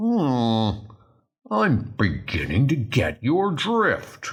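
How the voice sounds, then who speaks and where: Using a put-on character voice at a medium pitch, a man talks very slowly. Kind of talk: comic book dub, dramatic reading.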